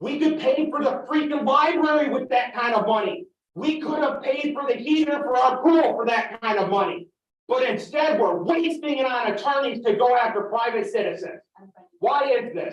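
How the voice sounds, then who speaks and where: This man's voice sits extremely high and is loud, with lively intonation. He talks at a moderate pace. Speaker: farmer and resident speaking at public comment. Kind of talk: public meeting comment. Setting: village council meeting.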